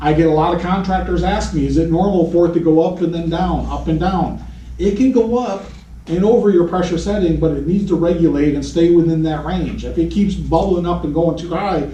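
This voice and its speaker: Noticeable background noise and audible room echo surround the recording. A man talks fast at a high pitch, at a fairly quick pace. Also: fairly even intonation. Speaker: HVAC technical trainer. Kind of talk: technical training lecture.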